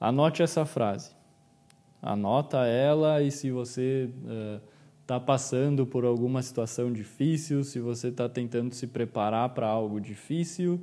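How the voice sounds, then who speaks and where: A man's dark, mellow voice at a medium pitch with ordinary pitch variation. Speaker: psychologist and podcast host. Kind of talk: solo podcast monologue.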